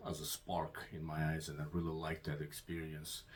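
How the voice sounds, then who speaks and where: With a non-native accent, the man speaks at a very deep, low pitch. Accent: noticeable foreign. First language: Russian. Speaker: Bible video channel host. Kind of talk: casual channel introduction. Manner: halting, many fillers.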